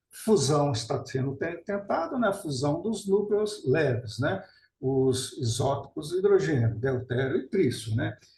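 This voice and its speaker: A man with a fairly high pitch speaks at a fairly slow pace, somewhat breathy. His tone is dark and mellow, and his intonation is lively. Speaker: nuclear scientist and author. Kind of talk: webinar lecture.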